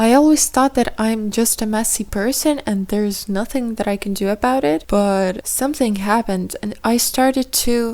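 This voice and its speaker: A woman with a non-native accent and fairly high pitch, at a moderate pace with hardly any pauses and ordinary pitch variation. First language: not English. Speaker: podcaster. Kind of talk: casual monologue. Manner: halting.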